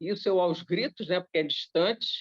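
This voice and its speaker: A woman talks with ordinary pitch variation. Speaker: spiritist study group leader. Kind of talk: group study discussion, personal anecdote. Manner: animated, repetitive.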